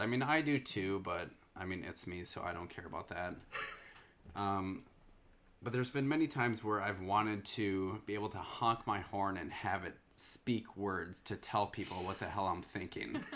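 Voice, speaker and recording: Speaking at a moderate pace, a man has an unremarkable speaking voice with a fairly low pitch and ordinary pitch variation. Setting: conversation with spouse.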